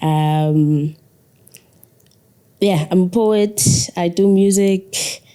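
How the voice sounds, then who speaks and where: A woman with a Zulu accent speaks at a very slow pace with a dark, mellow tone, a fairly low pitch, ordinary pitch variation, and long, frequent pauses. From South Africa, KwaZulu-Natal (Ladysmith). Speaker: poet and musician. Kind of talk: interview. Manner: calm.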